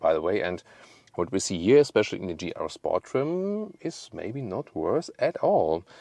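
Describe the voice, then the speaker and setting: A man with a German accent at a medium pitch and a moderate pace, his pitch swinging very widely, in a dry, close sound with no echo and a quiet background. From Germany. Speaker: car reviewer. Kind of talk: product review. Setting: on location with camera operator. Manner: playful, joking.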